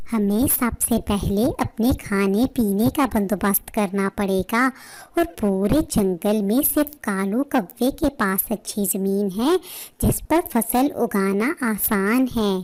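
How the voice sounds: A woman's cartoonish character voice, fairly high in pitch, with lively intonation, a very slow pace, very even loudness, a dry, close sound with no echo, and a very clean recording over a silent background.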